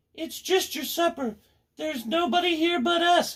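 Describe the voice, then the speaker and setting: This put-on character voice is squeaky and extremely high in pitch, moving at a moderate pace. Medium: read story.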